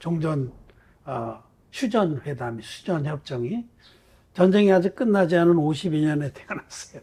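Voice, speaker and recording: A man with a fairly high pitch and a dark, mellow tone speaks at a fairly slow pace with lively intonation and long, frequent pauses. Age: 70s. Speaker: pastor. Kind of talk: sermon. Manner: conversational.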